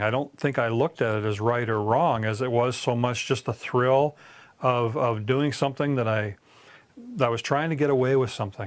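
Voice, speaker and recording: A man's medium-pitched voice, with ordinary pitch variation, moves at a moderate pace. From Canada, Southern Ontario. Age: 60s. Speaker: former criminal giving testimony. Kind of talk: testimony. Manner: halting, many repetitions and fillers.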